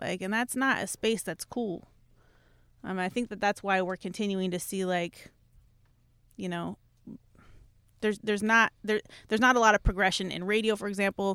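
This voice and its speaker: In a very clean recording with a silent background, a woman speaks at a medium pitch and a moderate pace. Her intonation is fairly even, and she leaves long, frequent pauses. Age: 30s. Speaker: radio music director. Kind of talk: casual interview.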